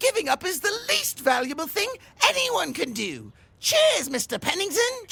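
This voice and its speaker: Using a put-on character voice, a woman speaks at a high pitch and a moderate pace. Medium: comedy sketch. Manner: crisp, indignant.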